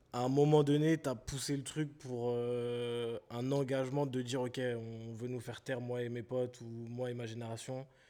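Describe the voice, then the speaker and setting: Hardly pausing, a man with a dark, mellow tone and medium pitch speaks at a fairly slow pace in a flat monotone. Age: 20s. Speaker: podcast host. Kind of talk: interview conversation.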